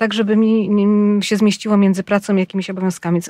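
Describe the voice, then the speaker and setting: A woman talks at a fairly quick pace in a flat, monotone way. The recording is very clean, with a silent background. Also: dry, close sound with no echo. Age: 40s. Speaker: podcast co-host, health journalist. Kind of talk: casual chat.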